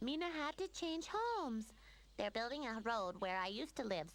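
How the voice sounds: This female-sounding voice puts on a cartoonish character voice, pitched fairly high. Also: moderate pace.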